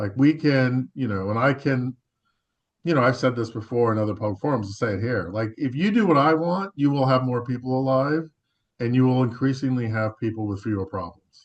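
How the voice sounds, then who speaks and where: A man with an American accent speaks at a fairly quick pace, his medium pitch moving with ordinary variation. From Los Angeles, US West Coast. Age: 60s. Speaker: public health researcher. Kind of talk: panel discussion. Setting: web forum. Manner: halting, many fillers and repeats.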